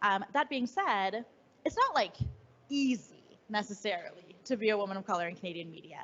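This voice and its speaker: A woman's medium-pitched voice, fairly quick, with lively intonation and big swings in loudness, over noticeable background noise. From Canada. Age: 30s. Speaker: writer and editor. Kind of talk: fireside chat interview. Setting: live event with audience.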